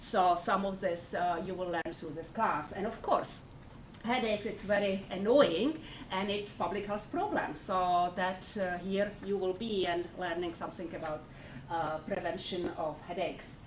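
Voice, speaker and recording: The speaker has a Czech accent and talks at a fairly slow pace with ordinary pitch variation. Noticeable background noise and audible room echo are present. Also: woman, medium pitch for a woman. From Czech Republic. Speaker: university lecturer. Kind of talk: lecture.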